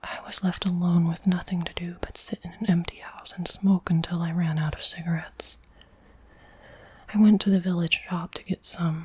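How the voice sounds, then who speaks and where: A soft-spoken woman, whispering. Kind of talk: ASMR book reading. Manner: soft-spoken, whispered.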